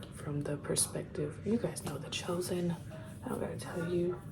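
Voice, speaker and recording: Noticeable background noise surrounds a woman's voice. Room echo is audible too. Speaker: family vlogger. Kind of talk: casual vlog talk. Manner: whispering.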